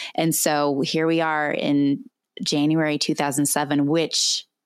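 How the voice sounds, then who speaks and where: An American accent marks a woman's very deep, low pitch and fairly even intonation in a very clean recording with a silent background. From California. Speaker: pastor. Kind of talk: interview.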